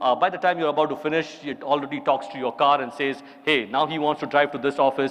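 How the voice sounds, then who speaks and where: With an Indian accent, a man with a fairly high pitch speaks at a very fast pace over noticeable background noise. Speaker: chartered accountant giving a conference talk. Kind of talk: conference keynote talk. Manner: animated.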